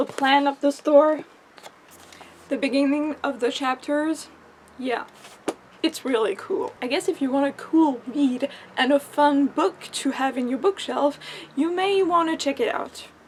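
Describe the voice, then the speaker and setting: Over noticeable background noise, a woman with a French accent speaks at a high pitch with ordinary pitch variation. Her pace is fairly slow, broken by long, frequent pauses. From France. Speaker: book vlogger. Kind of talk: casual book review vlog.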